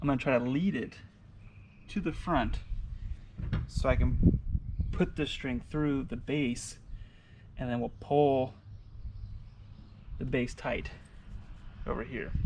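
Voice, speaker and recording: A man mumbles at a moderate pace. Long pauses come often. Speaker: fishing channel host. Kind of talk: tutorial. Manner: mumbling; casual.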